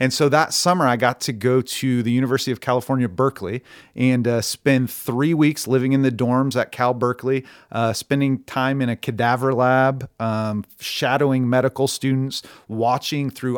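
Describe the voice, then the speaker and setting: Recorded very cleanly against a silent background, a man with an American accent speaks in an unremarkable speaking voice at a medium pitch, a moderate pace and fairly even intonation. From Oklahoma. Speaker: barbershop owner and actor. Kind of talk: casual chat.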